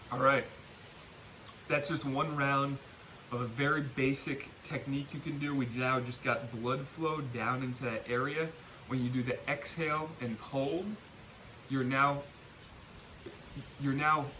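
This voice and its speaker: Over noticeable background noise, a man with a fairly high pitch talks at a fairly slow pace with fairly even intonation and long, frequent pauses. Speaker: back pain and gut health coach. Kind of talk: guided breathing exercise instruction.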